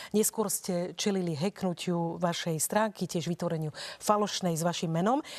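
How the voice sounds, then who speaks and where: With an ordinary speaking voice, a woman talks fairly quickly at medium pitch and with ordinary pitch variation. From Slovakia. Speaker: radio and TV debate moderator; radio, TV debate moderator. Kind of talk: moderated debate. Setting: studio. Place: studio. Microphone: lapel.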